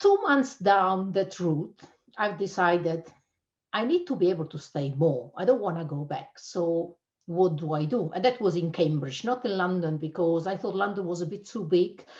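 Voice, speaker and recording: A woman with an Italian accent speaks with ordinary pitch variation. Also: medium pitch for a woman, moderate pace. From Italy (Abruzzo). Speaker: cybersecurity channel manager. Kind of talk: interview.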